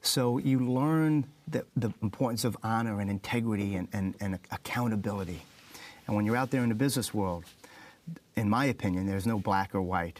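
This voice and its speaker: Delivery is fairly quick. The pitch varies in an ordinary way. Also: man, fairly low pitch for a man. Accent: New York. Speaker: motivational speaker, former fighter pilot. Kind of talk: interview.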